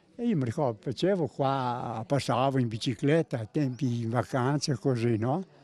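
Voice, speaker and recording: A man's dark, mellow, medium-pitched voice at a moderate pace, with ordinary pitch variation and hardly any pauses, dry and close with no echo against a quiet background. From Emilia, Italy (Piacenza area). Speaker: care home resident. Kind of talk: interview. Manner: halting.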